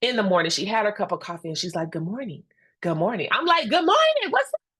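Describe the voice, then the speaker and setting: Loud and animated, a woman's medium-pitched voice moves through very wide pitch swings. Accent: American. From Indiana (Gary). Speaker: instructional coach and presenter. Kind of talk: professional webinar presentation.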